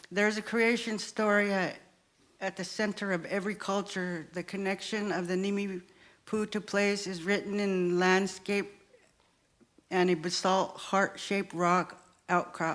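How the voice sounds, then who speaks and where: Speaking at a fairly slow pace, a woman holds a medium pitch with monotone, flat intonation. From Kamiah, Idaho (Nez Perce). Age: 70s. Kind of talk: storytelling. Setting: stage with live audience.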